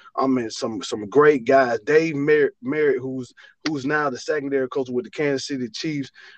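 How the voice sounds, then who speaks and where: A man speaks with an Alabama accent at a fairly high pitch. The sound is dry and close with no echo. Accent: Southern US (Alabama). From Alabama, US South. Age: 40s. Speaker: college football running back coach. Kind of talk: interview. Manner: halting, many fillers and repeats.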